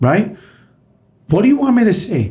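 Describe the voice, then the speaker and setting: A man talks in a dark, mellow tone. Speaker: restaurant owner. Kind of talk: podcast interview. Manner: loud.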